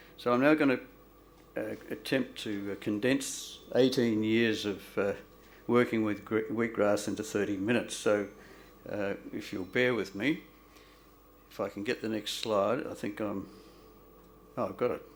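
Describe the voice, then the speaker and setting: With an Australian accent, this man speaks at a fairly low pitch with fairly even intonation, long and frequent pauses, and audible room echo. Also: moderate pace. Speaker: doctor. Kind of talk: public lecture. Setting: stage with audience. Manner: halting.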